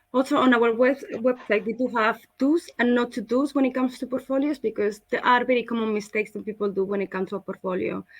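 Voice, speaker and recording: A woman with a Spanish accent, very fast in pace, with ordinary pitch variation. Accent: Spanish accent, obvious. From Spain. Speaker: school representative. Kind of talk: online presentation.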